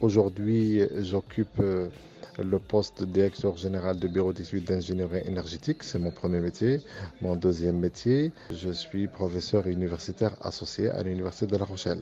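Speaking with an Arabic accent, a man with a very deep, low pitch keeps a moderate pace and fairly even intonation. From Morocco. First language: Arabic (speaking French). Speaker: university professor and engineering firm director. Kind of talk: interview testimony.

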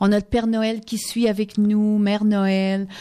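A woman with a Quebec accent speaks at medium pitch in a dark, mellow, flat monotone. The recording is very clean, with a silent background. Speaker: singer. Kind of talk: radio interview. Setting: radio studio.

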